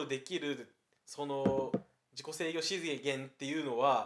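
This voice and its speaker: At a fairly slow pace, a man talks with a Kansai accent. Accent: Kansai Japanese. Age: 20s. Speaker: podcast co-host, university student. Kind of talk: casual chat. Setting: co-host's home.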